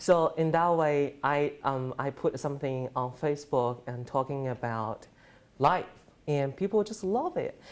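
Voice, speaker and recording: A man with a Chinese accent speaks at a fairly slow pace and a fairly high pitch. His pitch variation is ordinary, and the background is quiet. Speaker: journalism student. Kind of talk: class presentation. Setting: presentation to an audience. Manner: halting, many fillers.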